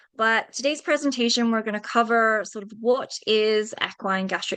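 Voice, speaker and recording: A woman with a British accent speaks in a fairly high pitch. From UK. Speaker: veterinarian. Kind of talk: webinar presentation.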